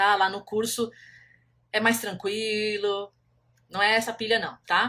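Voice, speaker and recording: A woman with a fairly high pitch and a bright, sharp tone speaks very slowly, with long, frequent pauses and monotone, flat intonation. The recording is very clean, with a silent background. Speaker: country painting teacher. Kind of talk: live stream talk. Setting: Instagram live.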